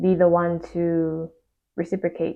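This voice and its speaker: This woman talks at a very slow pace with a fairly low pitch. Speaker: tarot reader. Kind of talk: tarot reading to camera. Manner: hesitant with many fillers.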